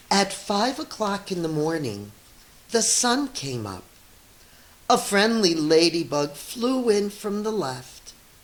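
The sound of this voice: In a room with audible echo, a woman speaks slowly at a medium pitch with big pitch swings.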